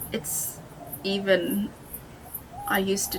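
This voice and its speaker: A woman's voice amid noticeable background noise. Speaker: artist and first-time vlogger. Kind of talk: personal vlog monologue. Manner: halting.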